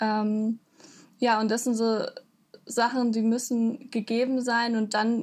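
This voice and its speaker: A woman's somewhat breathy voice, fairly high in pitch, at a very slow pace with fairly even intonation. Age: 20s. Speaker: university student. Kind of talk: interview. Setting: video call.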